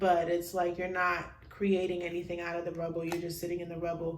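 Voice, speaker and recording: A woman talks at a fairly quick pace. Noticeable background noise and audible room echo are present. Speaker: tarot card reader. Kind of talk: pick-a-card tarot reading.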